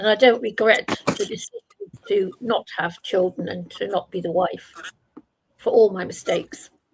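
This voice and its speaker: A somewhat breathy voice at a moderate pace, with a dry, close sound and no echo. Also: woman, fairly high pitch for a woman, ordinary pitch variation. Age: 70s. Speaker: open panel participant. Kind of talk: casual chat.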